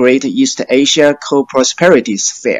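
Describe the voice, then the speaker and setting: A man with a Chinese accent, fairly high in pitch, at a fairly slow pace. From China. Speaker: PhD researcher. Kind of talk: panel discussion. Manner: hesitant, many fillers.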